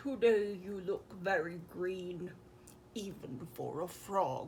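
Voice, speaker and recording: A put-on character voice sits at a middle pitch and moves at a very slow pace. Clear background noise runs underneath. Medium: read story.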